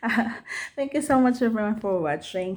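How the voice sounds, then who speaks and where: The speaker has a Filipino accent and lively intonation. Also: woman. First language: Tagalog. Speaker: book reviewer, vlogger. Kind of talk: casual vlog book review. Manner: halting, many repetitions and fillers.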